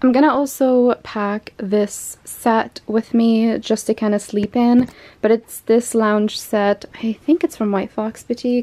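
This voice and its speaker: A woman's dark, mellow tone at a fairly slow pace, with fairly even intonation. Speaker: fashion vlogger. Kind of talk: casual vlog chat. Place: home room. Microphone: phone near.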